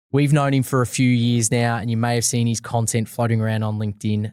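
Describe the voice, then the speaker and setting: A man with an ordinary speaking voice, medium pitch and a fairly quick pace, on a very clean recording with a silent background. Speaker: podcast host. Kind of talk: podcast host introduction and interview questions.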